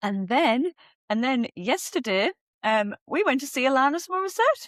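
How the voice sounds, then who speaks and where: In a Northeast England accent, a woman talks at a high pitch and moderate pace with very wide pitch swings, in a dry, close sound with no echo. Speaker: podcast co-host. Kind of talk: casual chat.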